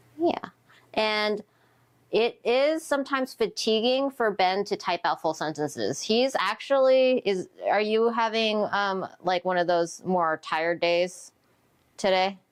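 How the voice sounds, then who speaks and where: A woman with an ordinary speaking voice speaks at a fairly slow pace with lively intonation and very even loudness. The recording is very clean, with a silent background. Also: medium pitch for a woman. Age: 30s. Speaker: caregiver livestream co-host. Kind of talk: casual livestream chat. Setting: livestream.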